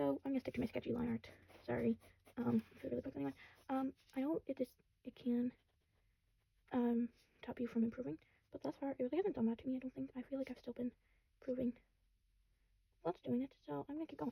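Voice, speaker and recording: Recorded dry and close with no echo, a woman speaks very fast. Her speech has long, frequent pauses. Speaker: art vlogger. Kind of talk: casual draw-along commentary. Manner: halting, many ums and fillers; rambling.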